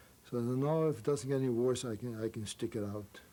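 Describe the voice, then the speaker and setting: Speaking at a fairly quick pace, a man uses a medium pitch and a dark, mellow tone with ordinary pitch variation. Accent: German. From Germany. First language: German. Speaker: Holocaust survivor. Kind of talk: interview answer.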